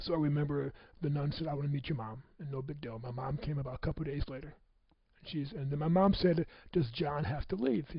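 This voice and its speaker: Very fast and somewhat breathy, this man speaks. His pitch is fairly high. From US Midwest (Michigan City, Indiana). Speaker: motivational speaker. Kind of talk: personal testimony talk. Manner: halting, repetitive.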